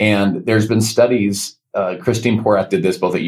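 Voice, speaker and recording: A man speaks with an American accent at a moderate pace. His pitch sits fairly low. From United States. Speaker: motivational speaker and entrepreneur. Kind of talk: interview. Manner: animated.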